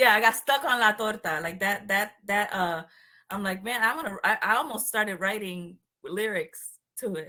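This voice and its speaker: A woman with a Puerto Rican accent speaks at a fairly high pitch. Her tone is bright and sharp, with ordinary pitch variation. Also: moderate pace. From Puerto Rico. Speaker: show host. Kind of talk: casual interview chat. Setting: call.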